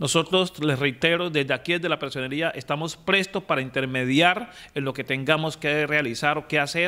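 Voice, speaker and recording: A man with a fairly high pitch and a bright, sharp tone talks with hardly any pauses and ordinary pitch variation. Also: moderate pace. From Quibdó, Chocó, Colombia; Chocó, Colombia. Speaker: municipal ombudsman. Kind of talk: news interview. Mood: serious, concerned. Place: office. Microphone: handheld.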